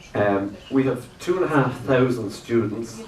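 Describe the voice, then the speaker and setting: Lively intonation marks this man's medium-pitched voice. The recording has audible room echo and noticeable background noise. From Ireland. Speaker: lecturer and animator. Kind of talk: workshop lecture. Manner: loud; halting, many fillers. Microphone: no microphone.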